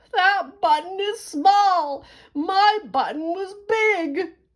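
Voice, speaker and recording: In a put-on character voice, a woman talks at a very slow pace with an extremely high pitch. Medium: read story.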